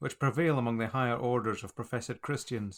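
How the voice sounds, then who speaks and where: On a very clean recording with a silent background, a man with an ordinary speaking voice talks at a fairly quick pace, medium in pitch with ordinary pitch variation. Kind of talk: audiobook reading of a religious text.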